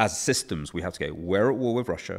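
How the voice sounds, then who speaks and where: With an English accent, a man speaks in a fairly low pitch that swings very widely. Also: very clean recording, silent background. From England. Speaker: author and policy researcher. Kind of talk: interview.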